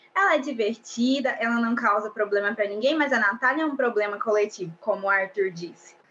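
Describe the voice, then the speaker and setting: Her pitch is fairly high, and her tone is bright and sharp, with ordinary pitch variation. The woman talks at a fairly quick pace with hardly any pauses. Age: 20s. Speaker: law student and reality show fan. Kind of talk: casual chat.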